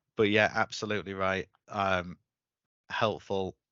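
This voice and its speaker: A man speaks with a Yorkshire accent. His very deep, low voice moves at a fairly slow pace. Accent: Yorkshire twang. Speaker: webinar host. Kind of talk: webinar discussion.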